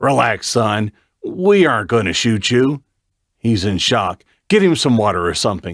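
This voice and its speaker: A man puts on a character voice at medium pitch. His pitch swings very widely as he keeps a moderate pace. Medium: read story.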